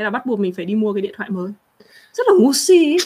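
A woman with a fairly high pitch is heard in a very clean recording against a silent background. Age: 30s. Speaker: livestream host. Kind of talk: casual livestream chat. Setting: livestream.

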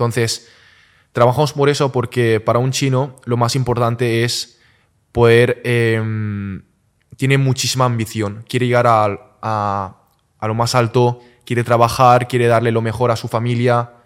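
A man talks at a fairly slow pace. His intonation is monotone and flat. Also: medium pitch for a man, very clean recording, silent background. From Catalonia, Spain (partly raised in Wenzhou, China). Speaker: entrepreneur. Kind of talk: casual interview. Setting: family wok restaurant.

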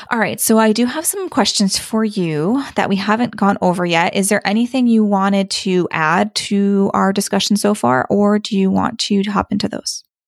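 With a plain, everyday voice, a woman talks at a moderate pace and medium pitch, using ordinary pitch variation and hardly any pauses. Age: 30s. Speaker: podcast host. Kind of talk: interview.

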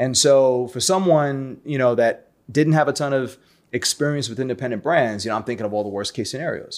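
A man with an American accent and an unremarkable speaking voice talks at a fairly quick pace, a medium pitch and ordinary pitch variation. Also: very clean recording, silent background. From New York City (Brooklyn). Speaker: watch collector, community founder. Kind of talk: casual chat.

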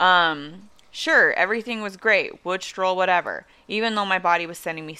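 This is plain reading aloud. Nothing else is in play.

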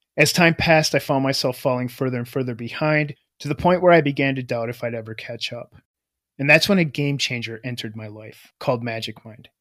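A man with an ordinary speaking voice talks at a fairly quick pace with big swings in loudness. The recording is very clean, with a silent background. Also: medium pitch for a man, ordinary pitch variation. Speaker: true crime podcast narrator. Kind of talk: true-crime narration. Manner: measured, serious storytelling pace; formal, scripted delivery.

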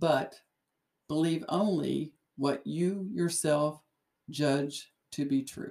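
With a very deep, low voice and ordinary pitch variation, a woman speaks at a very slow pace, leaving long, frequent pauses. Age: 60s. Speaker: retired investigator, co-host. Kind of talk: casual chat.

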